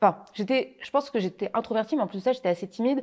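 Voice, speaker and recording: A woman with a fairly high pitch and a dark, mellow tone talks at a very fast pace with lively intonation. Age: young. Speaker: copywriter and trainer. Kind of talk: casual interview. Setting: studio.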